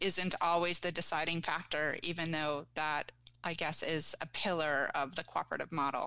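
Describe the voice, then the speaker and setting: A woman's bright, sharp voice at a fairly low pitch, at a moderate pace with ordinary pitch variation. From Ontario, Canada (Guelph). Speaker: fair trade co-op worker. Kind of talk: interview.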